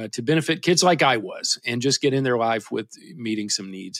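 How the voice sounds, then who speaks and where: In a Kentucky accent, a man talks at a moderate pace with medium pitch and lively intonation. The recording is very clean with a silent background, and the sound is dry and close with no echo. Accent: Southern US (Kentucky). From US South, south central Kentucky. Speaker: guitarist and band leader. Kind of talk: casual interview.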